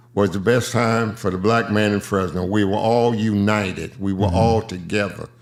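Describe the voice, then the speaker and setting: A man's monotone, flat delivery at a moderate pace, with very even loudness and hardly any pauses. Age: 80s+. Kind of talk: interview answer.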